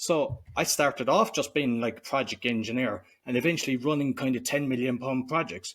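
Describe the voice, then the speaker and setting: Ordinary pitch variation and a moderate pace from a man, captured in a very clean recording with a silent background. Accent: Cork. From Ireland, Cork. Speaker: entrepreneur and podcaster. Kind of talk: interview conversation.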